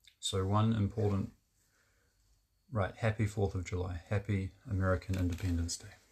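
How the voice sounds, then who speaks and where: A man with a fairly low pitch sounds somewhat breathy, with monotone, flat intonation. He leaves long, frequent pauses against a quiet background. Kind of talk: casual monologue to camera. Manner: halting, with fillers and restarts; deliberately lowered, resonant voice.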